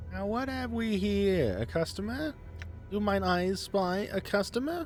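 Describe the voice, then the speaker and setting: A man performs a put-on character voice that is nasal and shrill, at a moderate pace. Clear music plays in the background. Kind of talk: archaic, theatrical. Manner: shrewish, braying.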